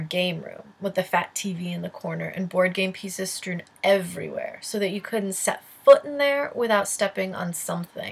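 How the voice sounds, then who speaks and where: A somewhat breathy woman's voice at medium pitch, with ordinary pitch variation, a moderate pace, hardly any pauses and big swings in loudness. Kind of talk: personal essay reading. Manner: mumbling at times.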